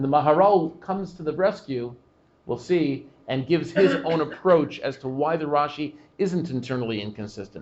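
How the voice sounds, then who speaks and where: At a moderate pace, a man speaks in a plain, everyday voice with a fairly high pitch and ordinary pitch variation. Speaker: rabbi giving a class. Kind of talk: Torah class discussion with audience questions.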